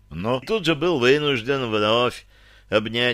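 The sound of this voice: The speaker reads in an unforced reading voice.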